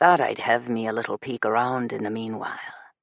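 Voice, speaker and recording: Doing a put-on character voice in an Irish accent, a gravelly man speaks at a very fast pace and medium pitch with fairly even intonation. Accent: Irish brogue. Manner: amused.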